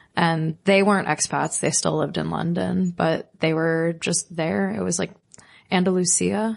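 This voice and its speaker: A woman talks at a moderate pace in an ordinary speaking voice with lively intonation. The background is quiet. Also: fairly low pitch for a woman. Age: 30s. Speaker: small business owner and bartender. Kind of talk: casual podcast chat.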